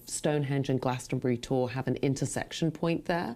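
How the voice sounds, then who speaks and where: A woman with an English accent speaks at a very deep, low pitch, her tone dark and mellow, with ordinary pitch variation. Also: very clean recording, silent background. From England, northwest London. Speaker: actress and playwright. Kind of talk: interview. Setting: webcast.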